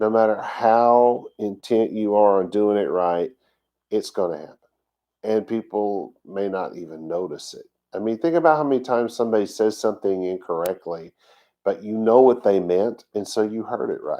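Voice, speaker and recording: Fairly low in pitch, a man talks with a Texas accent. His pitch variation is ordinary, and his loudness swings a lot. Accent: Texas drawl. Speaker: congregation teacher. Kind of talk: sermon. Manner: halting; slow.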